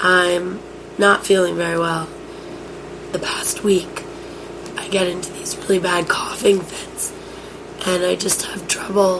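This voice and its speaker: In an American accent, the speaker talks at a fairly slow pace with monotone, flat intonation, long, frequent pauses, big swings in loudness, and audible room echo. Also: woman, medium pitch for a woman. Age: 20s. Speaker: college student with cystic fibrosis keeping an audio diary. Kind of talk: audio diary. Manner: halting.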